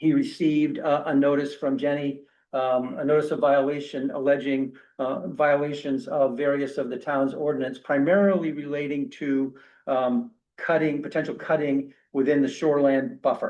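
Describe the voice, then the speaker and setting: A man's fairly high-pitched voice at a moderate pace, with fairly even intonation. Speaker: attorney representing a property owner. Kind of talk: public meeting presentation. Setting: town council meeting. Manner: halting, many fillers.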